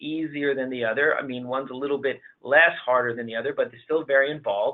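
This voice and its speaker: Fairly even intonation in a man's medium-pitched speech. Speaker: finance consultant presenting a webinar. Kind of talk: webinar presentation. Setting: online webinar. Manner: halting, with fillers.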